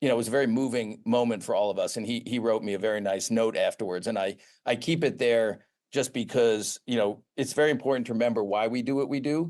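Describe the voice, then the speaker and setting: Very fast speech with an American accent, ordinary pitch variation and a quiet background. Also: man, medium pitch for a man. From US Northeast, Boston area. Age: 60s. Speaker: pharmaceutical research executive, former professor. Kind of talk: interview.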